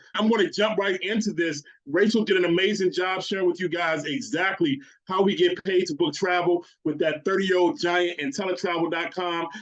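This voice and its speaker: A man speaks loudly at a high pitch. His tone is animated. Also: ordinary pitch variation, fairly quick pace. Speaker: network marketing presenter. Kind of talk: sales pitch. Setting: video call.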